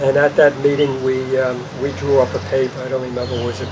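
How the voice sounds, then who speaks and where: A man with an American accent at a fairly quick pace, monotone and flat in intonation, over noticeable background noise. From New York City, Brooklyn. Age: 80s+. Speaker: park volunteer. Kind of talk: interview. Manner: hesitant, many fillers.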